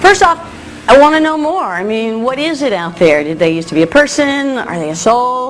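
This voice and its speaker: The voice moves through very wide pitch swings with music in the background. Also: woman. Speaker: broadcaster. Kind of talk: TV audition to camera. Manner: casual, conversational.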